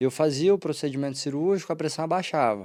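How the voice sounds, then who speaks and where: The man's voice has a dark, mellow tone and a fairly high pitch. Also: very clean recording, silent background. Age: 20s. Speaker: Paralympic swimmer and law student. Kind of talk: podcast interview.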